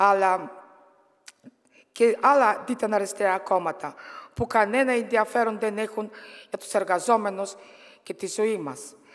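In a Bulgarian accent, a woman speaks at a fairly slow pace with long, frequent pauses and ordinary pitch variation against a quiet background. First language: Bulgarian (speaking Greek). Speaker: politician and trade unionist; politician. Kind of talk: political speech. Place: hall. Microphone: podium.

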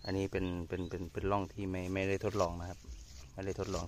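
A man with a very deep, low pitch speaks with monotone, flat intonation. Noticeable background noise comes through, with a dry sound and no echo. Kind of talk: casual farm vlog commentary. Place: farm machine. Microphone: phone near.

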